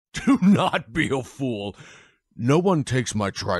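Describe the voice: Quiet surroundings, plain read-aloud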